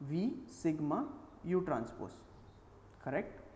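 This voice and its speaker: A man's voice with audible room echo. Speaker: teaching assistant. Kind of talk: tutorial.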